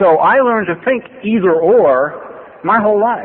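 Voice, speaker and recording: A man's voice with very wide pitch swings, set against noticeable background noise. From US West Coast, Los Angeles. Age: 60s. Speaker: AA speaker in recovery. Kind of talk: recovery testimony talk. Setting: podium at a meeting with audience. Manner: conversational, with many fillers and restarts.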